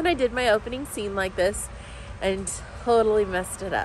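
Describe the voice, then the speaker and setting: There is a woman talking. Background noise is noticeable throughout. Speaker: home gardener vlogger. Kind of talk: garden tour vlog. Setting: outdoors in garden, rainy day. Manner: casual, chatty.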